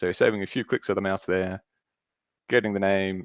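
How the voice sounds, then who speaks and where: A man's fairly low voice in a monotone, flat intonation, dry and close with no echo, on a very clean recording with a silent background. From Australia. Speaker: Salesforce consultant. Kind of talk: screen-share tutorial.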